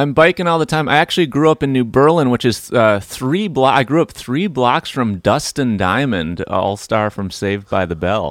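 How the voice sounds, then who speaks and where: Recorded very cleanly against a silent background with a dry, close sound and no echo, the speaker uses an American accent, a moderate pace, hardly any pauses and very wide pitch swings. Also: man, medium pitch for a man. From US Midwest, near Milwaukee, Wisconsin. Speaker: podcast host and musician. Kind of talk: casual chat; podcast intro monologue.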